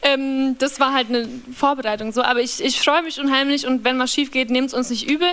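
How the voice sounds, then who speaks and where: A high-pitched woman's voice with a Bavarian accent. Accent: Bavarian, rolled R. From Bavaria, Upper Palatinate (small village). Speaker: singer-songwriter. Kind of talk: casual chat.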